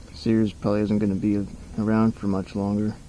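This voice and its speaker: Quiet and mumbling, a man talks at a moderate pace with fairly low pitch and fairly even intonation. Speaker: hobby mechanic. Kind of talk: casual talk while working. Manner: mumbling, quiet.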